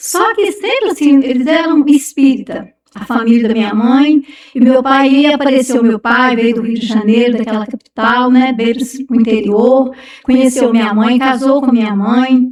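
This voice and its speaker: At a moderate rate, the voice rises and falls in a normal way. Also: woman, high pitch for a woman. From Brazil, Minas Gerais. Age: 60s. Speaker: churchgoer sharing life story. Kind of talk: testimony. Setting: podcast interview.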